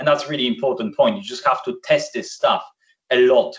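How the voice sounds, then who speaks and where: Against a quiet background, a man speaks with a Polish accent. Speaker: software solution architect; presenter. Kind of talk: webinar presentation. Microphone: video call.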